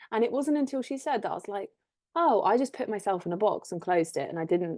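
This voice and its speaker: A woman's dark, mellow voice with lively intonation against a quiet background. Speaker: equestrian relationship coach. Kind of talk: solo Q&A talk. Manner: fast.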